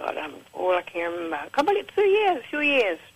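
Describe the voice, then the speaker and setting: Noticeable noise sits in the background. The words come very fast. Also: woman. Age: 70s. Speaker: caller giving product testimonial. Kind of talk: testimony. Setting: phone call.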